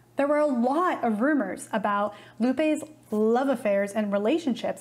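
A woman with a high voice. Her loudness stays very even throughout. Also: ordinary pitch variation, moderate pace. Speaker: video host. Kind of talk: documentary narration to camera. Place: studio. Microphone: lapel.

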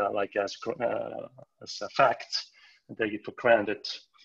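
Here a man speaks with a Finnish accent. The background is quiet. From Finland. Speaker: floorball coach. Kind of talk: casual chat. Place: home room. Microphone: video call.

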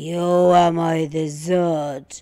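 In a put-on character voice, a man growls at a high pitch with monotone, flat intonation. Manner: growling, menacing.

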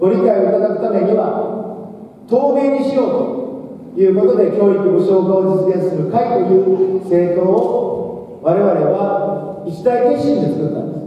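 Strong room echo surrounds a man's voice. His pitch is high, with ordinary variation. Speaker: election candidate. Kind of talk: campaign speech. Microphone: pa.

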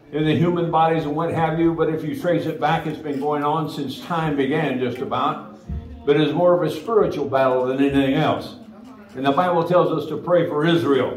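A man speaks at a fairly quick pace with ordinary pitch variation. Music is in the background, and the room echo is audible. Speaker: pastor. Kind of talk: sermon. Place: church.

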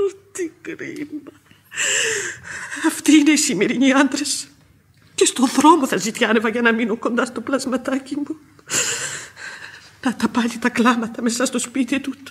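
A woman puts on a character voice with a husky, rough edge and a high pitch. Her pitch varies in an ordinary way, broken by long, frequent pauses.

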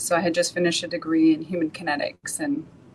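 A woman speaks at a moderate pace with a Canadian accent. Her pitch is fairly low, and there is light background noise. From Vancouver, Canada. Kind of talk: interview. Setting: video call. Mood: calm, reflective. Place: office. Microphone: video call.

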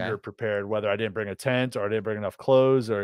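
Dry sound with no echo comes through over a quiet background. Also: man. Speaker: podcast co-host. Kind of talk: casual podcast conversation. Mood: jokey, laughing. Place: home room. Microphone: studio mic.

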